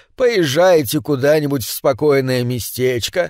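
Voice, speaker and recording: Over a silent background in a very clean recording, a man speaks very slowly with lively intonation. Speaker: audiobook narrator. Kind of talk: audiobook reading of horror story.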